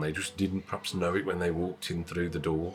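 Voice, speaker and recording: There is a slight West Midlands accent in this man's speech. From West Midlands, England. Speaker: bookshop owner and publisher. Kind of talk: interview. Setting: in his bookshop.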